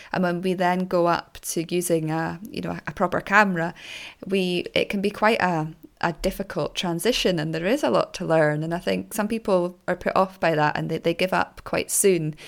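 A woman talks in a plain, everyday voice, fairly low in pitch. Her pace is moderate and her pitch varies in an ordinary way. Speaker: podcast host. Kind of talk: interview, conversational.

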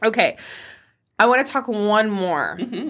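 A woman speaks with a bright, sharp tone. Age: 40s. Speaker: podcast host. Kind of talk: casual chat. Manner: animated.

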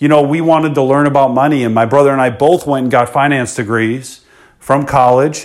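A man with an American accent, an ordinary speaking voice, at a fairly quick pace. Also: fairly high pitch for a man, fairly even intonation. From Chicago South Suburbs, US. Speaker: entrepreneur and podcast host. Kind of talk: podcast monologue.

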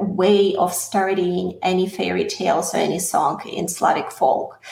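Against noticeable background noise and audible room echo, a woman of medium pitch talks at a fairly slow pace with fairly even intonation. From Russia. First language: Russian. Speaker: singer. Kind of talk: interview.

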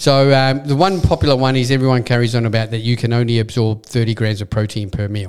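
A man speaks at a very fast pace in an Australian accent, hardly pausing at all. His pitch sits in the medium range. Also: ordinary pitch variation. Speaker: supplement shop owner and podcast host. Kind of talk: casual chat.

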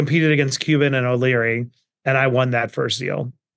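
A man talking at a very fast clip with a New York accent. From Queens, New York. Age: 40s. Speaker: entrepreneur and investor. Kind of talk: interview. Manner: animated.

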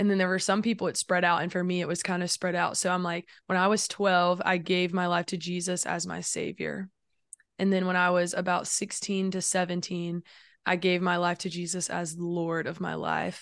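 In a Southern US accent, a woman speaks at a moderate pace with a fairly low, flat, monotone delivery. The background is quiet. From South Carolina. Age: 20s. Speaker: songwriter and musician. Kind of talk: casual chat.

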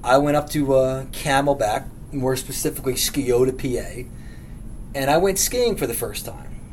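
Noticeable background noise sits behind a man with an American accent and a fairly high pitch. He talks at a fairly slow pace with ordinary pitch variation. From Philadelphia, lifelong resident. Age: 30s. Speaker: podcast host. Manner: blunt, profane, comedic rant style.

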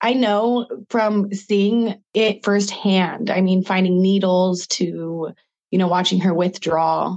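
A woman with an American accent speaks in a plain, everyday voice. Her pitch sits in the medium range. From US Pacific Northwest, Spokane, Washington. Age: 30s. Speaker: model and actress. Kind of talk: interview, personal testimony.

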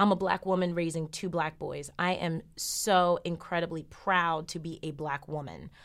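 A woman with an American accent speaks at a fairly low pitch and a moderate pace. Her intonation is monotone and flat. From New Jersey. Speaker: lawyer. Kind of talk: interview. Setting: studio.

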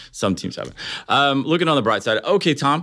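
Talking at a very fast pace, a man with an American accent comes through in a very clean recording with a silent background. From Ohio. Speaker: podcast host. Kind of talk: interview.

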